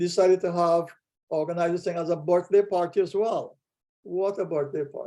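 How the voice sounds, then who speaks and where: A man's high-pitched voice with a dark, mellow tone, a monotone, flat intonation and a moderate pace. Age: 80s+. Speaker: artist. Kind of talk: personal reminiscence on video call. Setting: video call. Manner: halting, with many fillers.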